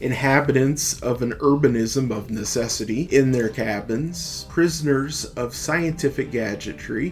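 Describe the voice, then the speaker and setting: With music in the background, a man with an American accent speaks at a fairly slow pace and medium pitch, his pitch varying in an ordinary way. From United States. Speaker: podcast host. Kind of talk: political essay reading.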